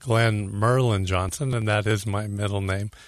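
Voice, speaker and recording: A man with a normal speaking voice talks at a moderate pace with fairly even intonation. His pitch is fairly low, over a quiet background. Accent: American. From California. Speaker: lighting designer. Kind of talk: radio interview.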